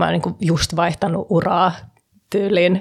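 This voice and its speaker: A woman talks at a fairly slow pace and a medium pitch. She has an ordinary speaking voice. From Sweden, Stockholm (Finnish parents). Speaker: real estate investor and entrepreneur. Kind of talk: casual chat. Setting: studio.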